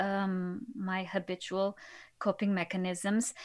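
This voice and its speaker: A woman with a Portuguese accent at a very slow pace, in a very clean recording with a silent background. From Portugal, Lisbon. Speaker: podcast host and patient. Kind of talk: interview.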